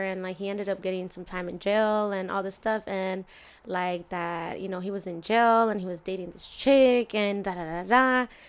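At a moderate pace and with fairly even intonation, a plain, everyday voice comes through on a very clean recording with a silent background. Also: woman. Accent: American. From US, Mexican family. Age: 20s. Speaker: barber. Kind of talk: casual interview chat.

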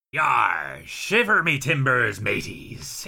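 A man's raspy, put-on character voice at a medium pitch and very slow pace

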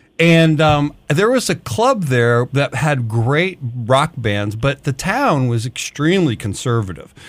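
An ordinary speaking voice: a man with an American accent, fairly high pitch, lively intonation, very even loudness, a fairly slow pace and hardly any pauses. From Detroit, US Midwest. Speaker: music promotion veteran, podcast co-host. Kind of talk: casual interview.

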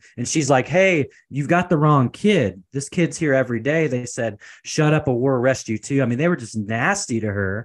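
A man speaks at a moderate pace with a West Coast accent and a medium pitch. His pitch varies in an ordinary way, and the background is quiet. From US Pacific Northwest, Portland, Oregon. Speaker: entrepreneur, consultant. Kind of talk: interview, personal story.

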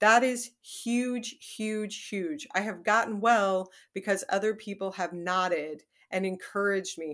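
In a plain, everyday voice, a woman with medium pitch and ordinary pitch variation speaks at a fairly slow pace on a very clean recording with a silent background. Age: 40s. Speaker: writer and memoirist. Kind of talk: casual interview.

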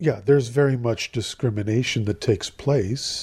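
A man with an American accent speaks at a moderate pace in a medium pitch, with ordinary pitch variation and a dark, mellow, somewhat breathy tone. The recording is very clean, with a silent background. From US, Southern California. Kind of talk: interview.

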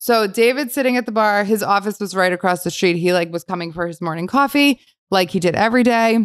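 A woman with an American accent, medium pitch, ordinary pitch variation and a very fast pace. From New Jersey, Bergen County. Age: 30s. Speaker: bakery founder and entrepreneur. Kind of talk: interview conversation.

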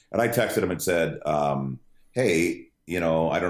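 A man with a very deep, low pitch speaks with vocal fry. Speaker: stadium PA announcer and radio broadcaster. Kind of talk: casual chat.

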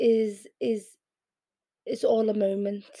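A woman speaks in a Liverpool accent. Her pace is very slow. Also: very clean recording, silent background. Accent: Scouse. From Liverpool, England (born in Yemen). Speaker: poet and performance artist. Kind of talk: interview.

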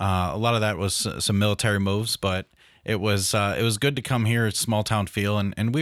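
A man with an American accent talks at a fairly quick clip in a fairly low voice, with ordinary pitch variation and very even loudness. He has an unremarkable speaking voice, and the recording is very clean with a silent background. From upstate New York. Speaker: city councilman and mental health therapist. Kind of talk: interview.

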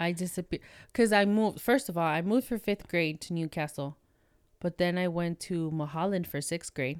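A plain, everyday voice moves at a fairly quick pace in a very clean recording with a silent background and a dry, close sound with no echo. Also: woman, fairly low pitch for a woman, ordinary pitch variation. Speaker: guest, friend of the hosts. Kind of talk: casual chat.

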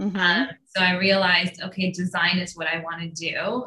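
A woman with an unremarkable speaking voice at medium pitch. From Iran-born, raised in US from age four. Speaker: brand designer and entrepreneur. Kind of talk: interview.

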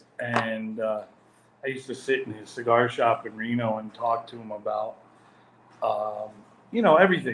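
A man speaks in a medium pitch with ordinary pitch variation and big swings in loudness. He leaves long, frequent pauses amid noticeable background noise. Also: moderate pace. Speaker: cigar maker. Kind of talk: interview. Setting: video call.

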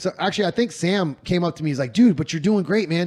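The man's voice is high in pitch, with lively intonation. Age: 40s. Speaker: shooting coach and podcast host. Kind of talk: casual chat. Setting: Airbnb living room, on couches.

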